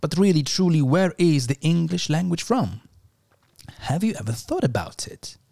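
A man's dark, mellow, somewhat breathy voice with lively intonation. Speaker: podcast host. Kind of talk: scripted narration.

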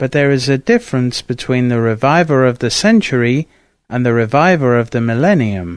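Over a quiet background, a man with a normal speaking voice talks at a medium pitch and a moderate pace with lively intonation. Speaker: audiobook narrator. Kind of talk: scripted narration, reading aloud of a saint's biography. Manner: formal; measured, reverent.

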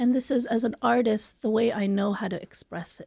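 This woman's voice is fairly high-pitched, with a dark, mellow tone and a somewhat breathy quality, moving at a moderate pace with fairly even intonation in a dry, close sound with no echo. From Philippines, Manila. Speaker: theatre artist. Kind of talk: radio interview.

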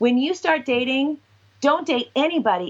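A high-pitched woman's voice with a West Coast accent. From Washington and Southern California, US. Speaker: sexologist and professor. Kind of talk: interview.

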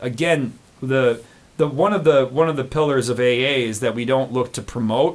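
A man with an American accent speaks at medium pitch. He has a plain, everyday voice with ordinary pitch variation. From US. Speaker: recovering alcoholic. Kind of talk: personal testimony interview.

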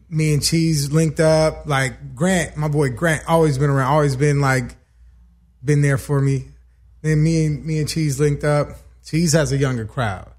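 This man has an American accent and a fairly high pitch. His voice is somewhat breathy, with fairly even intonation at a moderate pace. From West Los Angeles. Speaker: podcast guest. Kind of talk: casual chat.

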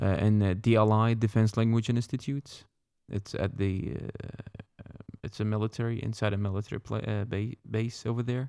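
A fairly low-pitched man's voice with an Iraqi accent, dark and mellow in tone, fairly quick and fairly even in intonation, in a very clean recording with a silent background. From Iraq, Baghdad. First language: Arabic. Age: 30s. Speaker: Iraqi immigrant, former military interpreter. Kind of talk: casual interview.

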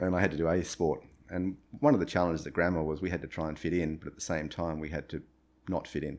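An Australian accent carries the speech at a very fast pace. The intonation stays fairly even. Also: man, very deep, low pitch for a man. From Australia, Brisbane. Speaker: retired rock climber and entrepreneur. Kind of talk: interview. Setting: at his home. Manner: halting.

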